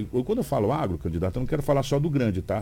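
Somewhat breathy and dark, mellow in tone, a man's voice makes very wide pitch swings on a very clean recording with a silent background. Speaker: radio news host. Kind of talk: morning radio news show and interview. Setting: radio studio.

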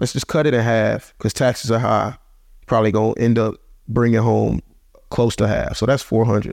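A man with a medium-pitched voice speaks at a moderate pace, his vocal fry audible, his loudness very even and his intonation fairly even. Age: 20s. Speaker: professional football player. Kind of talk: casual interview.

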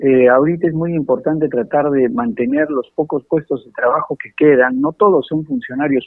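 Moderate pace, ordinary pitch variation, and a fairly high pitch from a man. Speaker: congressman. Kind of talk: radio interview. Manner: halting.

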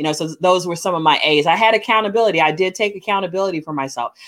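Ordinary pitch variation marks a woman's voice in a very clean recording with a silent background. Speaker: podcaster and life coach. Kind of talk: interview.

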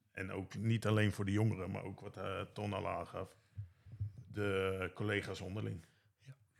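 There is vocal fry in this man's fairly low voice, delivered with monotone, flat intonation. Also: moderate pace. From Netherlands, Bunschoten. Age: 40s. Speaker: care worker. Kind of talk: casual interview.

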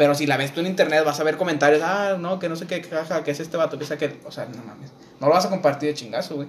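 A man speaks very fast in a fairly high voice with fairly even intonation. His loudness swings a lot, over noticeable background noise. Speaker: podcast co-host. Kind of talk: casual chat.

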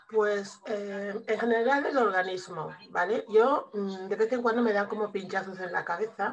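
Noticeable background noise runs under a woman's voice. She speaks fairly slowly at medium pitch, with fairly even intonation. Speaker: student and case patient. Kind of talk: casual consultation.

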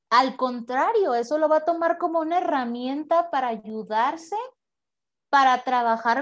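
At a moderate pace, a woman's high-pitched voice carries lively intonation. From Mexico, Tepic, Nayarit. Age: 30s. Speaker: psychologist. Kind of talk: casual interview conversation.

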